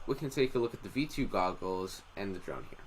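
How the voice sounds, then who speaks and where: Medium pitch, moderate pace, and a plain, everyday voice from a man. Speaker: drone tech youtuber. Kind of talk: live stream commentary. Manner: casual, many fillers.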